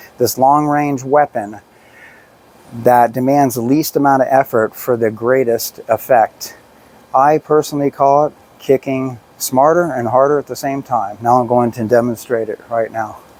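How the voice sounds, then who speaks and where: An unremarkable speaking voice, dry and close with no echo, fairly even intonation and a moderate pace. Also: man, medium pitch for a man. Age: 60s. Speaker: personal trainer. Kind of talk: tutorial. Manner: casual.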